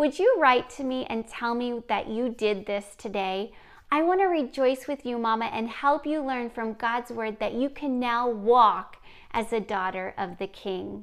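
In a very clean recording with a silent background, an unremarkable speaking voice moves at a fairly slow pace. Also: woman, fairly high pitch for a woman, ordinary pitch variation. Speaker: podcast host. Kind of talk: fervent guided prayer of salvation, repeated after her (around 8:17). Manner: warm, gentle, encouraging; fervent, earnest, tender prayer-like delivery (around 8:17).

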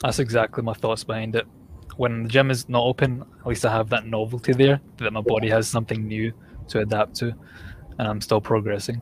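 A somewhat breathy man at a medium pitch, fairly quick and monotone with flat intonation. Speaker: fitness podcast host. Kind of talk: casual chat.

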